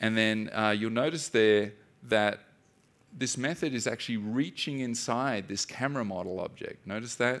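A man speaks at a moderate pace with an Australian accent. His pitch sits in the middle range, with ordinary variation. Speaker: software developer and DDD instructor. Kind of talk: conference talk. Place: stage.

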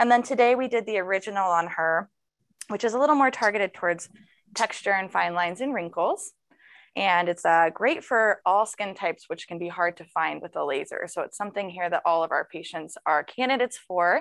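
A woman's lively intonation at a fairly quick pace, over a quiet background. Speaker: nurse and esthetician. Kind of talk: live demonstration.

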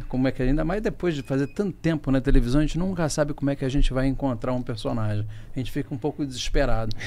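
A man talks at a very fast pace in a dark, mellow tone. His pitch is fairly high, with ordinary variation. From Rio de Janeiro, Brazil. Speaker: podcast guest, actor. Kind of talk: conversational, reflective. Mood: reflective. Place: studio. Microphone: studio mic.

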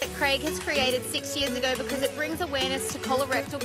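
With an Australian accent, a woman talks at a very fast pace in a dry sound with no echo, loud music playing in the background. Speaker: on-air host. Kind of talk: live TV interview answer. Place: street. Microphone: handheld.

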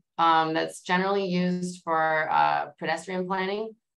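A woman with a normal speaking voice and fairly even intonation. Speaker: engineer; panelist. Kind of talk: panel discussion. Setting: video call. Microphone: video call.

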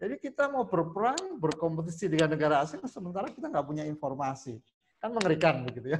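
With light background noise behind it, the voice rushes at a very fast pace through very wide pitch swings. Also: man, high pitch for a man. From Jember, East Java; East Java, Indonesia. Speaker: school administrator; trainer. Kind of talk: formal speech. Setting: video call. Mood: cheerful, smiling. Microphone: earbuds.

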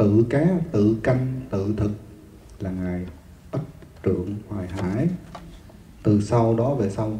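A man speaks at a very slow pace in a fairly low pitch with ordinary pitch variation, leaving long, frequent pauses. Audible room echo and light background noise are present. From Vietnam. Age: 50s. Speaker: Buddhist monk teacher. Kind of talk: dharma lecture. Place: hall. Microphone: handheld.

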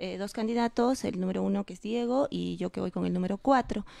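A woman speaks at a medium pitch with a dark, mellow tone, moving at a fairly quick pace in a dry room with no echo. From Peru. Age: 30s. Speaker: political candidate; candidate. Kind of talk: election debate. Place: studio. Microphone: handheld.

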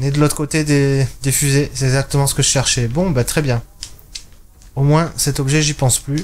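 A man speaks with monotone, flat intonation. His loudness stays very even. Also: fairly high pitch for a man, moderate pace. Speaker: gaming YouTuber. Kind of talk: let's play commentary. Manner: casual, thinking aloud.

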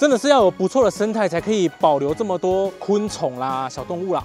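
Speech comes at a very fast pace over clear background music, with a dry sound and no echo. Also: man. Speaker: travel vlogger. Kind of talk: casual vlog chat. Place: open country. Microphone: lapel.

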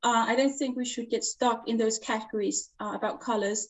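Speaking with a Danish accent, a woman uses fairly even intonation at a fairly high pitch against a quiet background. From Denmark, Jutland; Denmark. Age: 40s. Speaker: knitwear designer; guest. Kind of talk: interview. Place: home room. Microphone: video call.

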